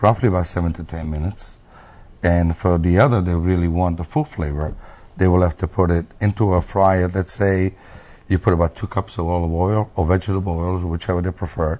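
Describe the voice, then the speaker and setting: A man with an Italian accent talks at a fairly quick pace. His pitch is very deep and low, and his intonation is fairly even. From Italy. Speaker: restaurant owner. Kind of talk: TV interview.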